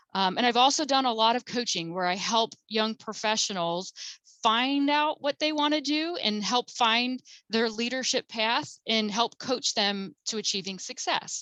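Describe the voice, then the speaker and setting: Speaking at a fairly slow pace, a woman with a fairly high pitch and a bright, sharp tone uses lively intonation, recorded dry and close with no echo against a quiet background. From New Jersey (Jersey Shore). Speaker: keynote speaker and counselor. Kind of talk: webinar presentation. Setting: webinar.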